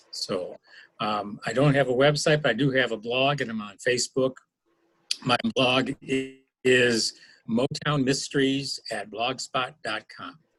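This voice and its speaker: Delivered with an American accent, the speech has a fairly slow pace and fairly even intonation, with a dry, close sound and no echo. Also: man, medium pitch for a man. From Michigan, US. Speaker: author. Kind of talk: interview.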